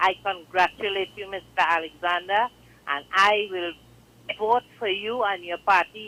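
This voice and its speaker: A woman with a Trinidadian accent talks at a fairly slow pace and medium pitch, with long, frequent pauses and big swings in loudness. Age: 60s. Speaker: caller. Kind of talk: call-in comment.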